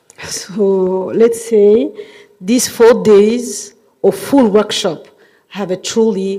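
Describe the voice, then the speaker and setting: With a French accent, a woman speaks at a very slow pace, medium pitch, and fairly even intonation. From Djibouti. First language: not English; French among her languages. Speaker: government official, workshop chair. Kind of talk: formal closing speech. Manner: formal.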